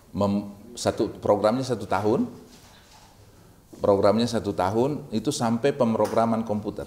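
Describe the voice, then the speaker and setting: A man with a Makassar accent speaks in a dark, mellow tone with fairly even intonation and long, frequent pauses. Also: medium pitch for a man, moderate pace. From Makassar, South Sulawesi, Indonesia. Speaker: university rector. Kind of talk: casual interview chat. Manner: halting.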